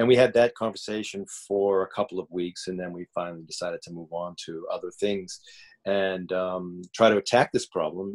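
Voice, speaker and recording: A man speaks at a moderate speed, the sound dry and close with no echo. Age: 60s. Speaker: acting teacher. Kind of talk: interview. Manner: halting.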